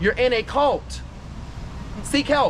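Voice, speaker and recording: At a moderate pace, a man's speech is heard over noticeable background noise. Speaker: voodoo priest and tour guide. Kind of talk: guided tour talk to a group. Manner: animated.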